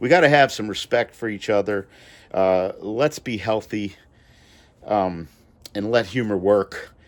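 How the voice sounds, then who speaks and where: A man with a fairly low pitch and ordinary pitch variation, at a fairly slow pace, in a very clean recording with a silent background. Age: 60s. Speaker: comedian and nurse. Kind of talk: casual monologue. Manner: halting.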